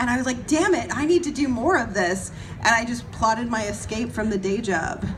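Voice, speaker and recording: An animated voice moves at a fairly quick pace, with audible room echo and noticeable background noise. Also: woman. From Canada. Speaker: horror film actress. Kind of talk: panel discussion. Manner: fast.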